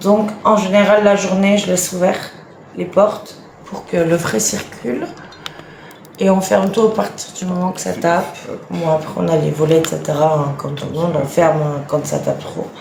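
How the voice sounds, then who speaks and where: With long, frequent pauses, a woman talks at a moderate pace in a fairly low voice amid noticeable background noise and audible room echo. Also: ordinary pitch variation. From France, Franche-Comté (Lons-le-Saunier). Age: 30s. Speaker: influencer, mother of nine. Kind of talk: casual live stream chat. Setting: live video stream at home.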